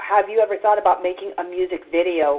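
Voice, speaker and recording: A woman with an American accent and an unremarkable speaking voice talks at a fairly quick pace and a fairly low pitch. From Texas. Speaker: internet radio host. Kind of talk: podcast interview.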